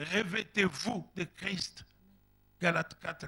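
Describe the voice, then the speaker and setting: A man's high voice moves along at a very slow pace. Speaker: pastor. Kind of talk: sermon. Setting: church. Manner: animated.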